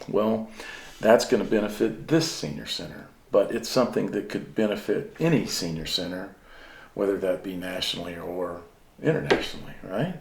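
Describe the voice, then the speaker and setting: Audible room echo around a man's fairly low-pitched voice at a moderate pace. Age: 60s. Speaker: senior center volunteer. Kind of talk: interview.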